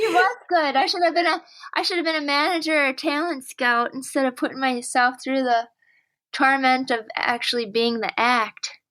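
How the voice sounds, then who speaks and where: A woman's raised, projected voice with an American accent, high in pitch with ordinary pitch variation, a bright, sharp tone, very even loudness and a moderate pace, on a very clean recording with a silent background. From northern Wisconsin, near Duluth. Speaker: comedian and clarinetist. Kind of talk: interview. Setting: call.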